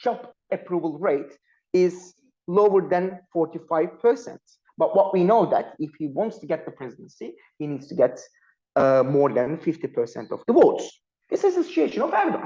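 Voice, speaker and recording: The speaker talks at a moderate pace with a Turkish accent. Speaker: panel speaker, political analyst. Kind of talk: academic panel talk. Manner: halting, with frequent fillers.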